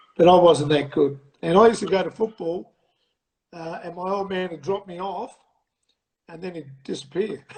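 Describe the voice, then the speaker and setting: A man with an Australian accent and a high pitch speaks at a moderate pace with ordinary pitch variation, big swings in loudness and long, frequent pauses. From Australia, Adelaide. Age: 60s. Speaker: pilot and panel beater, fan guest. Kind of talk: casual interview chat. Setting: livestream call. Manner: halting, many fillers.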